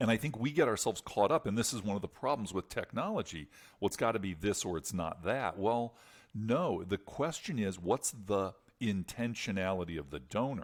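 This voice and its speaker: An unremarkable speaking voice from a man, fairly low-pitched and fairly quick, with lively intonation on a very clean recording against a silent background. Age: 50s. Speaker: fundraising consultant. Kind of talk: podcast interview.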